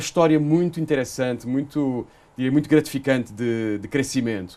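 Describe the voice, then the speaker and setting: A man with a Portuguese accent, lively intonation, and a fairly quick pace over a quiet background. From Portugal. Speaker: energy company executive. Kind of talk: interview. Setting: studio. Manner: hesitant, many fillers.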